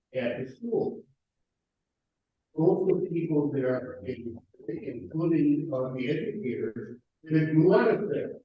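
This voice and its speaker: Pausing long and often, a man with a fairly high pitch and lively intonation speaks at a fairly slow pace in a room with audible echo. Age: 70s. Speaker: audience member. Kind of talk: audience comment. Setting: church forum with audience.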